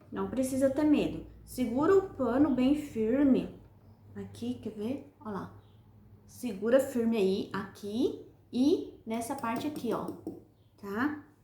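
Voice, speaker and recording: A high-pitched woman at a very slow pace, lively in her intonation, with long, frequent pauses, noticeable background noise and audible room echo. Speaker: sewing instructor. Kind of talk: tutorial.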